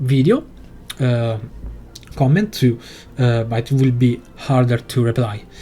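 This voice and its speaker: A man speaks with a non-native accent at a fairly slow pace, his pitch medium and his loudness very even. His tone is dark and mellow, somewhat breathy, with long, frequent pauses. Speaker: video game tutorial creator. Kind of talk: tutorial. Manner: halting, many fillers.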